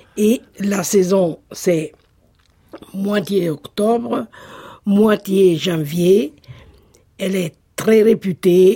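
A woman of medium pitch speaks very slowly in a dark, mellow tone with ordinary pitch variation. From Italy, Marche (Sassoferrato). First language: Italian (speaking French). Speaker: Italian cooking enthusiast. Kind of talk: casual interview.

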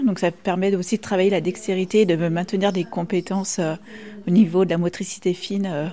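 A woman's medium-pitched voice at a moderate pace, over noticeable background noise. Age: young. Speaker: nursing home activity coordinator. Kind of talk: interview.

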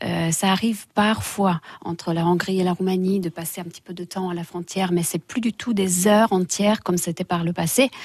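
A woman's medium-pitched, somewhat breathy voice with a Romanian accent, at a moderate pace with hardly any pauses and fairly even intonation, in a dry, close sound with no echo and a quiet background. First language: Romanian (speaking French). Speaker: English teacher and dance instructor. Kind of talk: radio interview.

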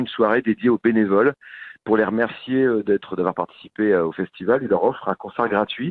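A man talks in a normal speaking voice. His pitch varies in an ordinary way. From Picardy, France. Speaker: DJ and musician. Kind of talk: radio interview.

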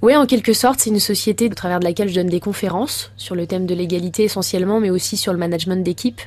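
Very fast speech from a woman at a medium pitch. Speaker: former footballer and speaker. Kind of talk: radio interview.

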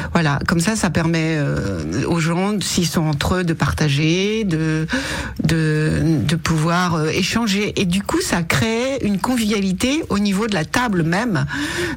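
A woman with a fairly low pitch talks with lively intonation, with noticeable background noise and audible room echo. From Berry, Cher (central France). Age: 60s. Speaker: restaurant owner. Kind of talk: radio interview. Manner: halting, many repetitions.

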